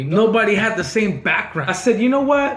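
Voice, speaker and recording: A man speaks loudly in a high pitch, with audible room echo and noticeable background noise. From Southern California, Mexican-American community. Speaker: vlogger. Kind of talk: casual storytelling monologue. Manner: animated.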